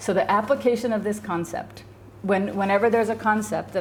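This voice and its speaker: Her pitch at a middle level and varying normally, a woman talks amid clear room echo. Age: 50s. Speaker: psychologist teaching a class. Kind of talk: lecture. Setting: class with students. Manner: fast; casual, conversational.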